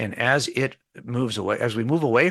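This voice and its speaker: Against a quiet background, a man with a medium pitch talks in a bright, sharp tone with lively intonation. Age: 60s. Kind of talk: interview on faith radio show. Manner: repetitive false starts.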